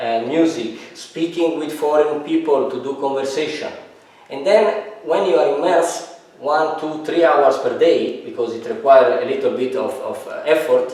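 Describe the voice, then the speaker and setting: At a moderate pace, a man speaks with a fairly high pitch, ordinary pitch variation and big swings in loudness. Audible room echo and noticeable background noise fill the recording. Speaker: self-improvement vlogger. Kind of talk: casual interview.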